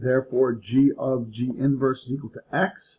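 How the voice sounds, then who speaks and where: The speaker is male. His voice falls in the medium range. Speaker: math teacher. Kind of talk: tutorial. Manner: fast; halting.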